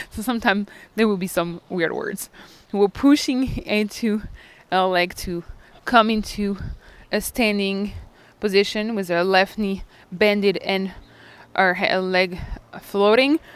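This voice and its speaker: With a non-native accent, a woman speaks at a fairly slow pace and medium pitch. Her intonation is fairly even, broken by long, frequent pauses. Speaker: yoga instructor. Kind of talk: guided yoga class instruction. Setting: outdoors by a lake. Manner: calm, encouraging cueing with breath prompts.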